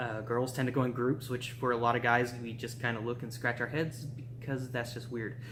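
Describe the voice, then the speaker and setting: A man talks at a fairly quick pace with hardly any pauses, his medium-pitched voice flat and monotone. The room echo is audible. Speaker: vlogger. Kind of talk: video blog monologue. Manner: casual, with filler words.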